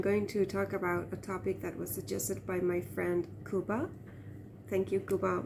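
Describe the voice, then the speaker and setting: A woman with an Iranian accent, at a moderate pace. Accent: Iranian Turkmen accent in English. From Turkmen-speaking region of Iran. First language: Turkmen. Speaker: vlogger. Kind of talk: casual monologue. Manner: hesitant, many fillers.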